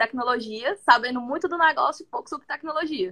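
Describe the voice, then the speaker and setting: Raising and projecting her voice, a woman speaks at a high pitch with lively intonation and a bright, sharp tone. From Brazil, Fortaleza, Ceará. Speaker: product manager, former educator. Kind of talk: casual chat.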